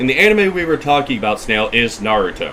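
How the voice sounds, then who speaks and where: Noticeable background noise surrounds a loud man. His pitch is medium and his pace moderate. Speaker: gaming streamer. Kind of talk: casual chat.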